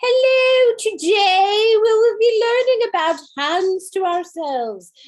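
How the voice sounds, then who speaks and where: Putting on a character voice with an English accent, a woman speaks at an extremely high pitch and a fairly slow pace. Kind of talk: formal, teacherly.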